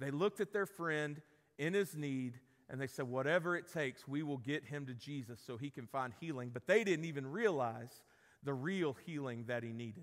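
Speaking at a fairly slow pace, a man uses a fairly high pitch and a fairly bright tone, and his pitch varies in an ordinary way.

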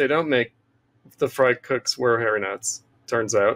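Fairly slow speech from a man with an American accent. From US. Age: 50s. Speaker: political theorist. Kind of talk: interview. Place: home room. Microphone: webcam.

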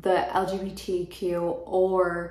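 Audible room echo surrounds a woman with an American accent whose pitch is fairly low. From Florida. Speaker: book youtuber. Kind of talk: casual vlog monologue; casual vlog chat. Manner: casual, filler-heavy. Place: home room.

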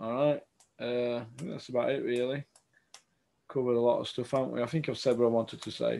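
A man talks at a fairly quick pace. His tone is dark and mellow, with fairly even intonation. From England. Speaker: boxing podcast host. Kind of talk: casual chat. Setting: video call. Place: home room. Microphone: webcam.

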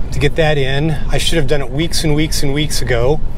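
Recorded with a dry sound and no echo, a man speaks against noticeable background noise. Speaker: RV dweller vlogger. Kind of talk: casual vlog chat. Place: car.

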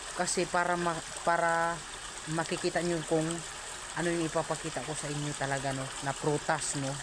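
The speech moves at a fairly quick pace, with long, frequent pauses. Noticeable background noise is present. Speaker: vlogger. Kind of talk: casual vlog. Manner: halting.

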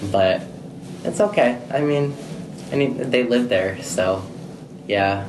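A man with an American accent talks at a fairly slow pace, with long, frequent pauses. Noticeable background noise runs underneath. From US Midwest. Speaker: nursing home employee. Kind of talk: casual interview. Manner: halting, filler-heavy. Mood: relaxed, casual. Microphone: phone near.

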